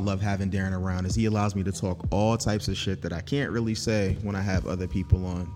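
Music plays in the background while a man talks at a very fast pace. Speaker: podcast host. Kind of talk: casual chat. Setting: studio. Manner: soft-spoken.

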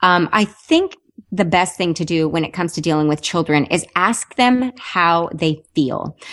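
This woman has an unremarkable speaking voice, fairly low in pitch, with ordinary pitch variation and a fairly slow pace. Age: 30s. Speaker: weight loss podcast host. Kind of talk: interview.

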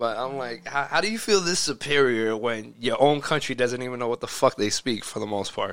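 A man with an American accent in a normal speaking voice, at a moderate pace with ordinary pitch variation. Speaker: podcast co-host. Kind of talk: casual chat.

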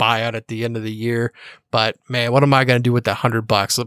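With a silent background, the recording of this man's voice is very clean. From Missouri, US Midwest (Kansas City, St. Louis). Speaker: sports betting podcaster. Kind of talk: casual interview chat.

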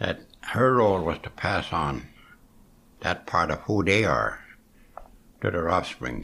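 A man speaks fairly slowly in a very deep, low pitch with vocal fry and a bright, sharp tone. His pitch swings very widely, and he leaves long, frequent pauses. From Cape Breton, Nova Scotia, Canada. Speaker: Mi'kmaw elder. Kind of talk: elder telling life story and reflecting, conversational interview. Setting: at home kitchen table. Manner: slow, reflective, halting with fillers.

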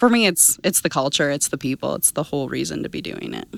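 A woman with an Albertan accent, lively intonation and a fairly quick pace, on a very clean recording with a silent background. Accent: Canadian (Alberta). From southern Alberta, Canada. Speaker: crop science sales manager. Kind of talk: interview. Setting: conference.

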